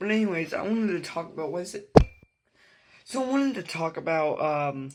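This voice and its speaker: A man with a high voice talks fairly quickly, his intonation lively. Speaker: mapping video creator. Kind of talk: casual gameplay commentary. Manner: halting, many fillers.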